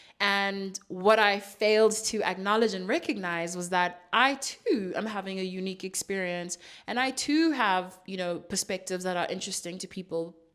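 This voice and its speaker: A woman speaks at medium pitch and a moderate pace. Music plays in the background. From South Africa (Johannesburg). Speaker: podcast host and journalist. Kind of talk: casual monologue.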